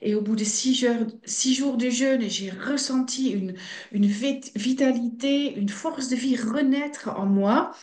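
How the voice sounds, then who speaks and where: Heard with audible room echo, a woman speaks in a high pitch with ordinary pitch variation. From Belgium (Flemish) and Netherlands. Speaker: fasting centre director. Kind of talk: interview.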